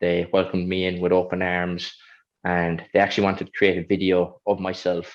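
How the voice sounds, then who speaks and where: In a Kerry Irish accent, a man speaks at a very deep, low pitch with monotone, flat intonation. His loudness swings widely. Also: fairly quick pace. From Ireland, County Kerry (Killarney). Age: 20s. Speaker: Paralympic athlete. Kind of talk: interview.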